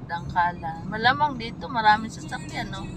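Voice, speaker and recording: Music plays in the background as a woman talks at a moderate pace. Her intonation is lively, and room echo is audible. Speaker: vlogger. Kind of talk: travel vlog narration.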